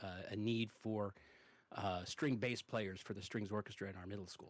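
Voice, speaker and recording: The recording is very clean, with a silent background. A man talks at a fairly low pitch with fairly even intonation. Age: 50s. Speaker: guitarist and musician. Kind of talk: casual chat. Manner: halting, frequent fillers and repetitions.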